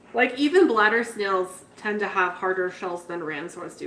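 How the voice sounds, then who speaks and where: Over noticeable background noise, a woman talks at a moderate pace with a medium pitch and lively intonation. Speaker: betta fish keeper livestreaming. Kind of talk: casual livestream chat. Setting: live stream. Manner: loud.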